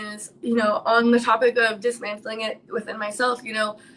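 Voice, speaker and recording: A woman talks at a fairly quick pace in an American accent, her pitch high. Noticeable background noise runs under her voice. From New York City. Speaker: live stream host. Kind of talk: casual live chat. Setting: live stream. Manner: loud.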